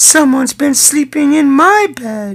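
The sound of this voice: This female-sounding voice is a put-on character voice with a high pitch. It moves at a fairly slow pace.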